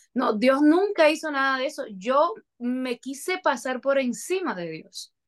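A woman at a high pitch and a very slow pace. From Dominican Republic, Moca. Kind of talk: testimony.

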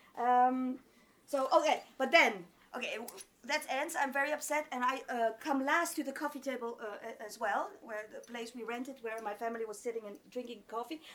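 A woman with a high voice speaks at a moderate pace in an animated tone, her pitch varying in an ordinary way and her loudness swinging widely over noticeable background noise. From Rimouski, Quebec (Greek immigrant parents). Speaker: storyteller. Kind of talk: live storytelling. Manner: animated, laughing often.

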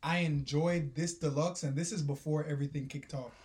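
Somewhat breathy, a man with a dark, mellow tone and fairly high pitch speaks at a moderate pace with fairly even intonation. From Jamaica. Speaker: podcast co-host. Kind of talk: casual chat.

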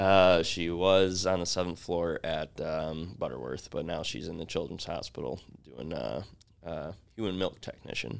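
Using vocal fry, a man speaks at a moderate pace in a very deep, low pitch with ordinary pitch variation. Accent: American. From Grand Rapids, Michigan. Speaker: leather goods business co-founder. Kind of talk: interview.

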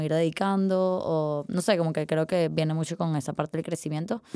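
Speaking with fairly even intonation, a woman uses a normal speaking voice at a fairly low pitch. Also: very clean recording, silent background. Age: 20s. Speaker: art student. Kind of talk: casual interview conversation.

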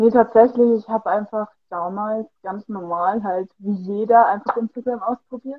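An unremarkable speaking voice from a woman, fairly high in pitch, with fairly even intonation at a moderate pace. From Bavaria, Germany. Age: 20s. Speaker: fitness studio employee and amateur model. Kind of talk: casual interview. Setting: Instagram livestream.

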